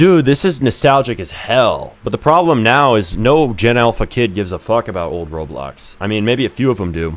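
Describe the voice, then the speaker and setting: A man talks at a fairly quick pace with hardly any pauses and some vocal fry. His medium-pitched voice makes very wide pitch swings. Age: 20s. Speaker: game developer streamer. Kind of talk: live stream commentary. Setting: live stream. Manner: animated.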